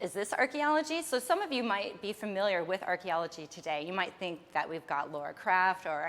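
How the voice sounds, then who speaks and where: A woman with an American accent speaks at a fairly quick pace with hardly any pauses. Her medium pitch swings very widely. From United States. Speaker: archaeologist. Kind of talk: lecture. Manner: casual, with some false starts.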